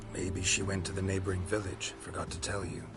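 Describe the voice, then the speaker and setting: A man's put-on character voice, very deep and low in pitch, at a fairly quick pace over loud background noise. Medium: game stream. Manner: terse, clipped, deadpan.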